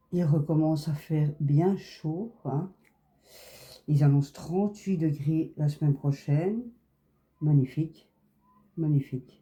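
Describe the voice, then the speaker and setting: In a somewhat breathy voice with a dark, mellow, relaxed tone, the speaker moves at a very slow pace with long, frequent pauses. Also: woman, very deep, low pitch for a woman, ordinary pitch variation. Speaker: crafts YouTuber. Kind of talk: casual chat while crafting. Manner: relaxed, chatty.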